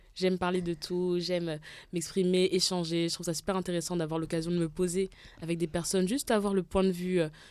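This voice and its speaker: An unremarkable speaking voice from a woman, fairly low in pitch and at a fairly quick pace. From Gabon. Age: 20s. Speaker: podcast guest. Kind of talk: casual chat.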